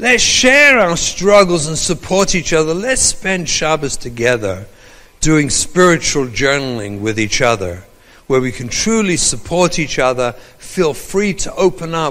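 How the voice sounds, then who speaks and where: Moderate pace and very wide pitch swings from a man with an English accent, with audible room echo. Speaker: rabbi and trauma educator. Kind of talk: lecture.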